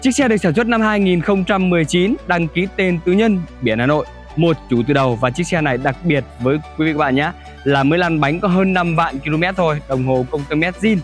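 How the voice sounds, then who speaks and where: Over faint background music, a man talks at a moderate pace in a dry sound with no echo. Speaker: presenter. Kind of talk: sales presentation. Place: street.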